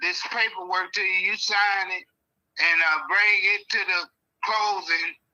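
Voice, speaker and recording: A man's raised, projected voice, high in pitch, monotone and flat in intonation, at a fairly slow pace. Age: 60s. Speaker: property owner selling to an investor. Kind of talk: phone call with investor. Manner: halting, many fillers.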